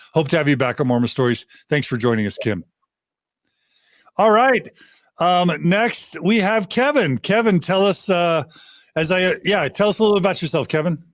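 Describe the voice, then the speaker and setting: A man with an American accent, high-pitched, with very wide pitch swings, very even loudness and long, frequent pauses. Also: moderate pace. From United States. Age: 50s. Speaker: podcast host. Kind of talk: podcast interview hosting. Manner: enthusiastic.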